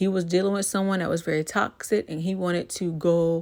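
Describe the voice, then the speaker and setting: In a very clean recording with a silent background, a woman uses a normal speaking voice at a fairly low pitch and a moderate pace. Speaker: YouTuber, TV show commentator. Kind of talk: casual vlog commentary. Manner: relaxed, chatty.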